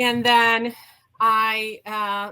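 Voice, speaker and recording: Bright, sharp tone from a woman with a slight Romanian accent, fairly high pitch and fairly even intonation. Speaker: HR executive and burnout coach. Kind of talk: interview storytelling. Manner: hesitant, many fillers.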